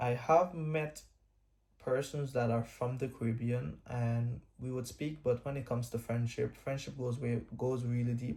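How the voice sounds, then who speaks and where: The voice has a dark, mellow tone, somewhat breathy, with ordinary pitch variation at a fairly slow pace. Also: man, medium pitch for a man. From Guyana. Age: 20s. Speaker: vlogger. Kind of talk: storytime monologue. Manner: halting.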